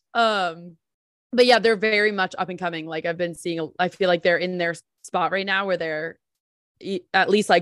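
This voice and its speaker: A woman with an American accent and an ordinary speaking voice speaks at a medium pitch with ordinary variation, the sound dry and close with no echo over a quiet background. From New Jersey. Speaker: podcast co-host. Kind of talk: podcast interview. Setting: video call.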